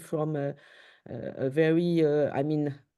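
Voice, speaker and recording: Dark, mellow tone in a French accent, flat and monotone, over a quiet background. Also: woman. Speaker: paediatric surgeon. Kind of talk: interview. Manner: halting.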